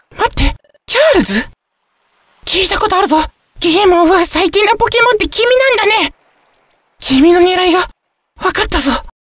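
A man puts on a character voice of extremely high pitch. He speaks at a moderate pace with long, frequent pauses. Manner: bright, then suspicious.

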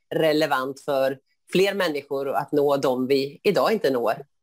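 A woman speaks at a moderate pace in a very deep, low voice with ordinary pitch variation. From Sweden, Skövde area (Västergötland); Sweden. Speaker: board candidate, schoolteacher; candidate, schoolteacher. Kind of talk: interview answers. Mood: friendly, smiling. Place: home room. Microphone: earbuds.

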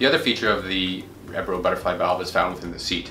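The man's voice sits fairly low, and the room echo is audible. Faint music plays in the background. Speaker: presenter. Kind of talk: product presentation. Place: office.

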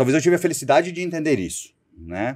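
A man with a fairly high pitch at a very fast pace on a very clean recording with a silent background. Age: 40s. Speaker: sales executive. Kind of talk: interview.

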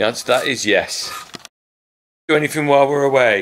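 Speaking at a fairly quick pace with an English accent, this voice comes through over light background noise. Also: man. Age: 50s. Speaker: farmer and video host; video host. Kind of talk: casual tutorial. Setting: farm workshop. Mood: cheerful, relaxed. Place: workshop. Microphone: phone near.

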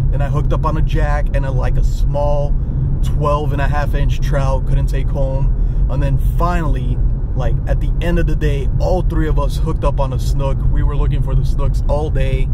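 Loud background noise runs under a man speaking at a moderate pace. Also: dry sound with no echo. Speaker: fishing vlogger. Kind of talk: casual vlog chat. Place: car. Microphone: phone near.

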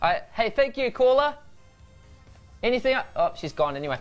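A man with a New Zealand accent speaks in an upbeat tone at a moderate pace. Faint music plays in the background. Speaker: radio host. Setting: radio studio. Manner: upbeat, joking. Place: studio. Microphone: lapel.

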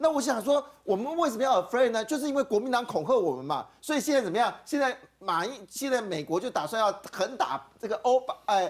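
Very wide pitch swings mark a man's high voice against a quiet background. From Taiwan. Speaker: political talk show host. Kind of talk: call-in political talk show. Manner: animated. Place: studio. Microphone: lapel.

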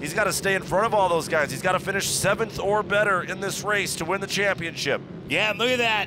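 Through noticeable background noise, a man speaks in a raised, projected voice at a high pitch, with an animated tone. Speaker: race commentator. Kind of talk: live race commentary. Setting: race track broadcast. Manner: animated, fast-paced play-by-play; excitable, urgent, with casual banter.

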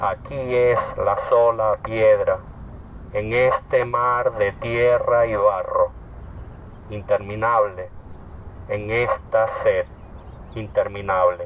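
Over light background noise, a man speaks at a very slow pace with long, frequent pauses, and the sound is dry with no echo. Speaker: poet. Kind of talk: poetry reading. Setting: outdoors. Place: open country. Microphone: camera far.

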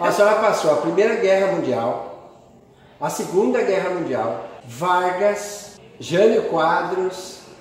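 Speech at a very slow pace comes through strong room echo and light background noise. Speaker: interviewer. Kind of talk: casual interview questions. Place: home room. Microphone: phone near.

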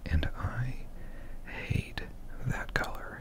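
A man's voice in a dry sound with no echo, against loud background noise. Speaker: online content creator. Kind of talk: casual vlog chat. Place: home room. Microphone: studio mic.

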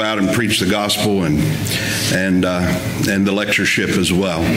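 A man talks at a fairly quick pace while noticeable background noise plays underneath. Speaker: guest preacher at a lectureship. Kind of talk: sermon. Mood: warm, lightly humorous. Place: church. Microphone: podium.

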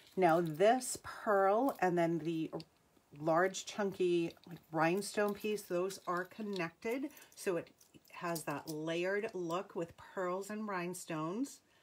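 A woman with an American accent at medium pitch, very slow pace and ordinary pitch variation, with light background noise. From New England. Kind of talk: live sales stream. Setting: home livestream. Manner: upbeat. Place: home room. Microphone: phone near.

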